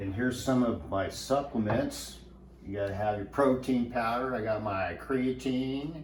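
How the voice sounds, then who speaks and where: Against noticeable background noise, a man talks at a moderate pace and a medium pitch. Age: 60s. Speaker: fitness enthusiast interviewed in documentary. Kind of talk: casual documentary talk.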